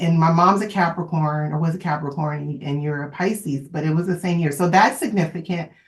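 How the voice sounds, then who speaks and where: A woman's somewhat breathy voice, fairly low in pitch, with ordinary pitch variation. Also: hardly any pauses. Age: 30s. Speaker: astrologer podcast co-host. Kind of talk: casual chat.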